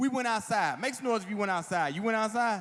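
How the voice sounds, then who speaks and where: A man talks at a very fast pace in an animated tone. His pitch variation is ordinary. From Washington DC area. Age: 40s. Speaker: comedian. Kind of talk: stand-up. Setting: stage with audience.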